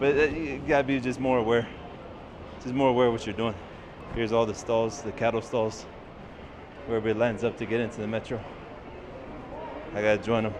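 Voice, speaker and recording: With an American accent, a man talks very fast at a medium pitch and fairly even intonation, leaving long, frequent pauses, amid audible room echo and noticeable background noise. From United States. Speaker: travel vlogger. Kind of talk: casual vlog narration. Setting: outdoors and on public transit. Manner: soft-spoken; loud. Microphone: testing phone camera with and without clip mic.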